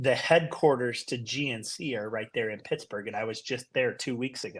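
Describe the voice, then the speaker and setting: A man with an American accent speaks at a moderate pace in a normal speaking voice. His pitch is medium, with ordinary variation. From Utah. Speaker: company CEO. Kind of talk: interview.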